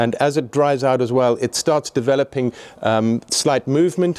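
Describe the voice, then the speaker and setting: The speaker is a man. There is ordinary variation in his pitch. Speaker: presenter. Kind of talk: tutorial. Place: hall. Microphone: phone near.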